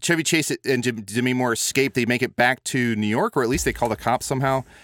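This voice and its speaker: A man with an American accent and an ordinary speaking voice at medium pitch, at a fairly quick pace, on a very clean recording with a silent background and a dry, close sound with no echo. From US Midwest, small-town Illinois. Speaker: podcaster and improv performer. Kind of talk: casual chat.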